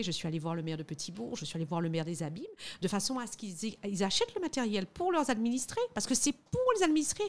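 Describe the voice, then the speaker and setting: The recording is very clean, with a silent background. A woman speaks at a fairly quick pace with lively intonation in a plain, everyday voice. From Guadeloupe. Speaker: lawyer and lobbyist. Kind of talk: interview.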